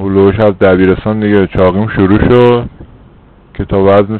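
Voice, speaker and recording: A man talks at a fairly quick pace and a fairly low pitch. He has a plain, everyday voice. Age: 30s. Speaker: former bariatric surgery patient. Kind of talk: interview.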